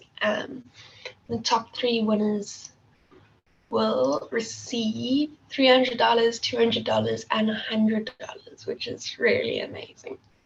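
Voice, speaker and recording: A woman talks at a fairly slow pace while noticeable background noise is heard. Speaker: competition organizer presenting to students. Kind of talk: online workshop instructions. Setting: video call.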